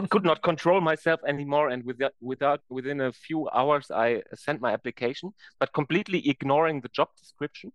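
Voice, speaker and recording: With a German accent, a man speaks at a moderate pace in a fairly high pitch with ordinary pitch variation. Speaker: science performer. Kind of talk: interview. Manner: animated; halting.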